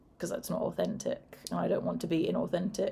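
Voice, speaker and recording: A woman with a British accent talks at a fairly quick pace. Her tone is dark and mellow, with vocal fry. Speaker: horror video creator, former teacher. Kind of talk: casual chat. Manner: fairly even, not high-pitched or excitable.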